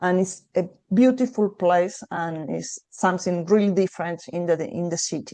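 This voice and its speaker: In a Spanish accent, this voice has a dark, mellow tone, ordinary pitch variation, and a moderate pace. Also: woman, medium pitch for a woman. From Argentina. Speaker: tour operator representative. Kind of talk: destination presentation. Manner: hesitant, many fillers.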